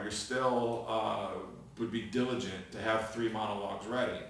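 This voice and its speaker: Noticeable background noise sits under the recording. A man speaks at a medium pitch. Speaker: actor. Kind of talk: acting tutorial talk to camera. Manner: casual, hesitant.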